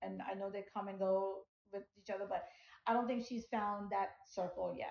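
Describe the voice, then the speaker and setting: A woman with a Punjabi accent speaks at a medium pitch in a somewhat breathy voice. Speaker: podcast co-host. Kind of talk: casual chat.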